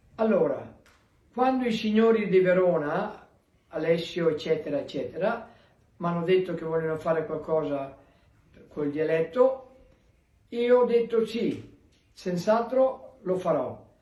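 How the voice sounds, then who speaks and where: High-pitched male speech with lively intonation, long, frequent pauses, and audible room echo. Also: fairly slow pace. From Veneto, Italy (Treviso area). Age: 80s+. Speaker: emigrant. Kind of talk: recorded video greeting.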